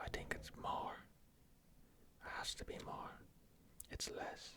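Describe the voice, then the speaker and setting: Someone is whispering at a fairly slow pace. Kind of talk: ASMR trivia game. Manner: whispered.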